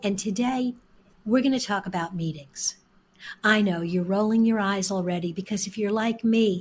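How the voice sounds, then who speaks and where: This woman's voice sits at a medium pitch and sounds somewhat breathy. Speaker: podcast host. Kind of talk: podcast interview host.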